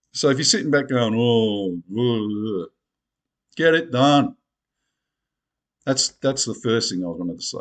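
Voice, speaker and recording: With an Australian accent, a man of medium pitch speaks at a fairly slow pace with lively intonation and long, frequent pauses against a quiet background. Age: 60s. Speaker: video blogger. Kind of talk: casual monologue to camera. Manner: animated.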